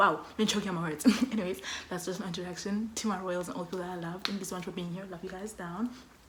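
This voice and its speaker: A woman talks at a very fast pace in an energetic tone. Audible room echo and noticeable background noise surround her. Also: medium pitch for a woman. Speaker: student vlogger. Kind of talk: casual vlog talk. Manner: loud, energetic.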